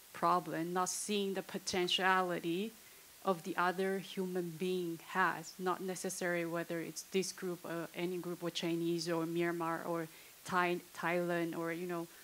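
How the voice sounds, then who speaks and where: A woman with a non-native accent speaks at a fairly low pitch. Her delivery is fairly slow and monotone, with flat intonation. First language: not English. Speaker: audience member asking questions. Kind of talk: panel discussion question. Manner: halting.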